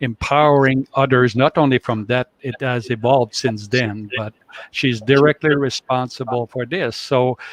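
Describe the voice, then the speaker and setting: At a moderate pace, the speaker delivers monotone, flat lines with a Quebec accent in a dry, close sound with no echo. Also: man. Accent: French Canadian accent in English. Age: 60s. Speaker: life coach. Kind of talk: interview. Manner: halting.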